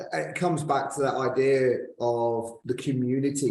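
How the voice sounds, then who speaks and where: Here a man talks at medium pitch in a normal speaking voice. His intonation stays fairly even. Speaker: podcast host. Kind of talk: interview host talk.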